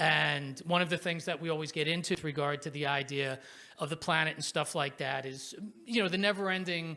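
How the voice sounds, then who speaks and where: Loud and very fast, a man talks at a fairly high pitch with ordinary pitch variation and a bright, sharp tone. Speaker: professor of political science, panel moderator. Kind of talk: panel moderation. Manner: animated.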